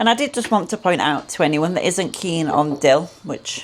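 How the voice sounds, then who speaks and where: Speaking with a British accent, this woman moves along at a fairly quick clip. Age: 30s. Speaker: food vlogger. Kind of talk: cooking tutorial. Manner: casual, chatty.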